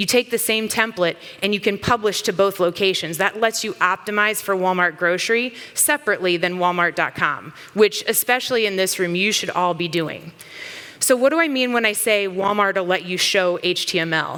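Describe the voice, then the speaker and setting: A woman with an American accent speaks fairly quickly at a medium pitch with ordinary pitch variation, over noticeable background noise. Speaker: company CEO, conference speaker. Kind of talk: conference talk. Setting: stage with audience. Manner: fast; animated.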